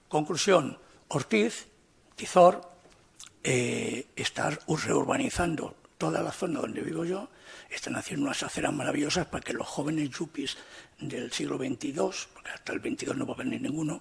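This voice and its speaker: A moderate-paced male voice amid noticeable background noise. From Spain, Alicante. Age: 60s. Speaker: writer, debate panelist. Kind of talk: panel debate. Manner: animated.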